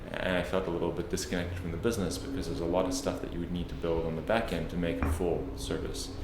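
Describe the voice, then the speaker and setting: A man with a slight South African accent talks at a very fast pace with hardly any pauses, his very deep, low voice following a fairly even intonation amid noticeable background noise and audible room echo. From South Africa, Cape Town. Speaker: tech product executive. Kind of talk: interview. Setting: office.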